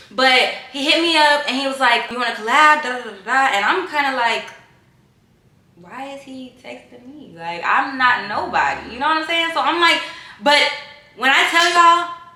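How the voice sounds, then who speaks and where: A woman speaks at a high pitch in a raised, projected voice, animated and with lively intonation, at a moderate pace with long, frequent pauses and big swings in loudness. Noticeable background noise and audible room echo fill the recording. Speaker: YouTuber / influencer. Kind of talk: casual chat.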